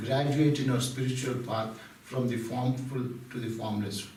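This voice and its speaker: The speaker has an Indian accent and talks at a fairly slow pace with fairly even intonation. Audible room echo can be heard. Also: man. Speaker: spiritual speaker. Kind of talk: devotional talk.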